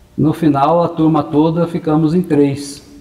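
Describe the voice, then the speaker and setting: Noticeable background noise and audible room echo surround a man who talks at a fairly slow pace. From Brazil, interior of São Paulo state (Maracaí/Assis area). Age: 60s. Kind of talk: interview. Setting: parish church premises.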